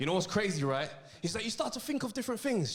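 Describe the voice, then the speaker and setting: In a London accent, a man speaks in an animated tone with very wide pitch swings. Room echo is audible. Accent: London, multicultural London English. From South London. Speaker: comedian. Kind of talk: stand-up. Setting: stage with audience.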